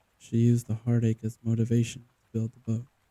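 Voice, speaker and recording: A somewhat breathy man with a dark, mellow tone, at a fairly quick pace, in a dry, close sound with no echo. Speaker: audiobook narrator. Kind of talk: ASMR poetry reading.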